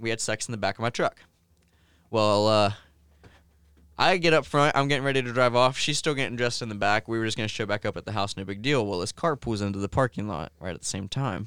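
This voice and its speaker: In a very clean, dry and close recording with a silent background and no echo, a man rattles along at a very fast pace with a medium pitch. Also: ordinary pitch variation. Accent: Midwestern American. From Ohio, Logan. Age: 20s. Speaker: gamer and streamer. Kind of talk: casual chat. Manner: hesitant, many fillers.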